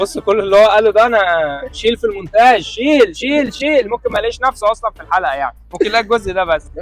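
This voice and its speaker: A man's high-pitched voice races along very fast, with lively intonation. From Egypt. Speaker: actor and voice-over artist. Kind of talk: street interview questions, casual comedic. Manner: playful, joking.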